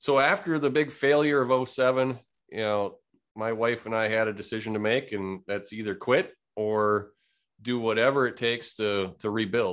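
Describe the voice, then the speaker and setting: Over a quiet background, a man speaks with an Upper Midwest accent at a moderate pace. His pitch is medium, with ordinary pitch variation. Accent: Upper Midwest American. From Wisconsin. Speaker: real estate investor and lender. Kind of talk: interview conversation.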